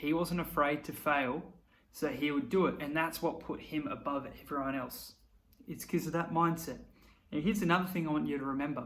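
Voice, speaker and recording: A man talks at a fairly high pitch and a fairly quick pace, with ordinary pitch variation. Room echo is audible. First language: not English. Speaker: YouTuber. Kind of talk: motivational talk to camera. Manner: casual, conversational.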